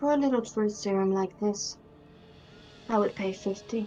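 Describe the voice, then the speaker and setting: A female-sounding voice puts on a raspy character voice at medium pitch. She keeps a moderate pace while clear music plays in the background. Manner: bargaining.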